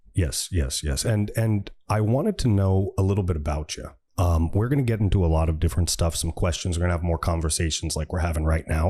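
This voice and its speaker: A man speaks very fast with hardly any pauses, his pitch very deep and low with ordinary variation. His tone is dark and mellow, and somewhat breathy. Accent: US East Coast. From US East Coast. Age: 60s. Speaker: podcast host. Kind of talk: interview.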